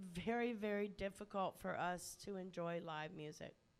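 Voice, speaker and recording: Very slowly, a woman talks with fairly even intonation. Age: old. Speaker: venue host / MC at a concert. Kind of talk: onstage address to audience. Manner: halting.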